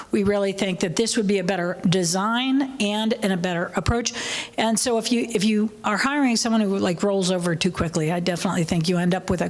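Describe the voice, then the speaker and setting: The voice keeps very even loudness and ordinary pitch variation, with noticeable background noise behind it. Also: woman, medium pitch for a woman, fairly quick pace. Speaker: workshop panelist. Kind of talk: panel discussion Q&A.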